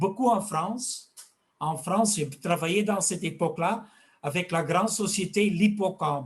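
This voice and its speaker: A man with a Flemish accent talks at a fairly slow pace. His pitch is high, with ordinary pitch variation. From Flanders, Belgium. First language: Dutch (speaking French). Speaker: fish health expert and fish food maker. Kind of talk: interview. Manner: halting.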